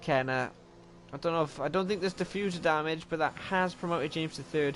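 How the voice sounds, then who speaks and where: Fairly quick, fairly high male speech with a Welsh accent and ordinary pitch variation, set against noticeable background noise. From Wales. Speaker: sim racing commentator. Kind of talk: live commentary. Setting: livestream. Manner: animated.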